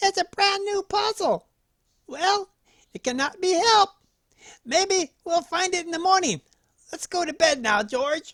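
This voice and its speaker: This put-on character voice is squeaky and extremely high in pitch, with long, frequent pauses. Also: moderate pace. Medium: read story. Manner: warm, gentle.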